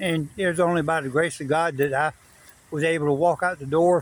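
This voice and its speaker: In an American accent, a man talks at a moderate pace with a high pitch. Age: 60s. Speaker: former prisoner sharing his story. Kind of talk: casual vlog monologue. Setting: outdoors in a park. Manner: halting, many fillers.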